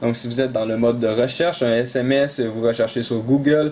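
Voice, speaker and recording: Speaking with a Quebec accent, a man keeps a moderate pace and ordinary pitch variation. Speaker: tech tutorial YouTuber. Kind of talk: tutorial. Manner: hesitant, many fillers.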